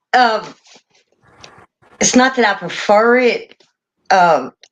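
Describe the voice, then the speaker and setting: A woman talks in a Tennessee accent. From Tennessee, Perry County. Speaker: catfish angler. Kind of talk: casual chat.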